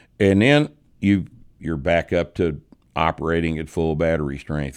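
On a very clean recording with a silent background, a man with a Texas accent speaks at a very deep, low pitch with ordinary pitch variation. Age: 60s. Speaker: podcast host and strength coach. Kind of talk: casual chat. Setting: studio.

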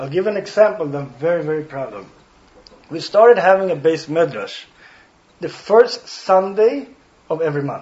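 Over noticeable background noise, a man with a Swedish accent talks at a moderate pace in a warm, high voice, leaving long, frequent pauses. His intonation is lively and his loudness swings widely. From Sweden, Stockholm. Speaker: rabbi. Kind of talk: guest talk to students. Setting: speaking in front of a student audience. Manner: warm, occasionally searching for words.

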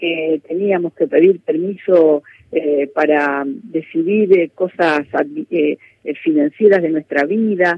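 A fairly low-pitched woman at a very slow pace, with ordinary pitch variation. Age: 60s. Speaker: politician, former mayor. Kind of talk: radio interview.

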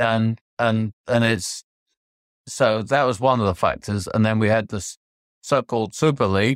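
A man with a London accent at medium pitch, ordinary pitch variation, and a dry, close sound with no echo. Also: very clean recording, silent background. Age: 70s. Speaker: football club chairman and co-owner. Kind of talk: interview.

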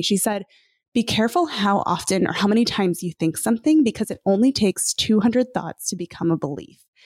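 A woman at a very fast pace with lively intonation, in a very clean recording with a silent background. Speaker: author and podcaster. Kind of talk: casual interview conversation. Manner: fast talker.

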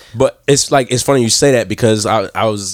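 A man's medium-pitched, unremarkable speaking voice at a fairly quick pace. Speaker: podcast co-host. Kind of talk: casual chat. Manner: excitable.

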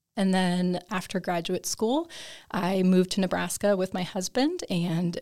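A plain, everyday voice with an American accent, fairly even in intonation and fairly slow in pace. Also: woman, very clean recording, silent background. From Minnesota. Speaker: wildlife biologist. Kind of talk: interview.

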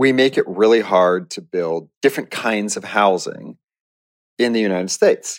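A man at a fairly slow pace, on a very clean recording with a silent background and a dry, close sound with no echo. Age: 40s. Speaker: journalist. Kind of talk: interview. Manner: casual, hedging with fillers.

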